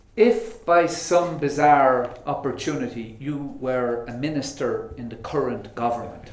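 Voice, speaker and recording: Speaking with an Irish accent, a man with a fairly high pitch talks at a fairly slow pace with hardly any pauses, lively intonation and big swings in loudness over noticeable background noise. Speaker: moderator, diplomat. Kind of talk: panel talk.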